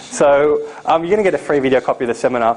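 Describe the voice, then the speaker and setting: Talking very fast at a fairly high pitch, a man is heard against noticeable background noise. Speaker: seminar presenter on importing. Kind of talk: live seminar presentation. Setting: seminar room with live audience.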